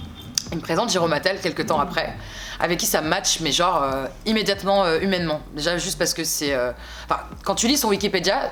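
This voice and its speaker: Amid noticeable background noise, a woman speaks at a fairly quick pace in a fairly low pitch with ordinary pitch variation. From France, Bordeaux. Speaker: singer. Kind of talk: interview. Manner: hesitant, many fillers.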